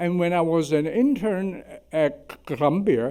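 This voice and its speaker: With a Chinese accent, a man speaks in a high voice with a dark, mellow tone. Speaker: surgeon. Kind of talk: symposium talk.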